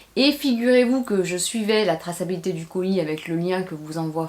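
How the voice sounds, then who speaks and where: Against noticeable background noise, a woman with a fairly low pitch speaks at a moderate pace with lively intonation. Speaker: beauty and lifestyle YouTuber. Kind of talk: unboxing vlog with story time. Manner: animated.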